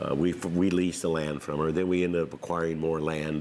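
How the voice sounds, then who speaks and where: Against noticeable background noise, a man with an American accent speaks at a moderate pace in a very deep, low pitch with fairly even intonation. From California, Tracy area. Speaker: winery owner and former farmer. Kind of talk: oral history interview.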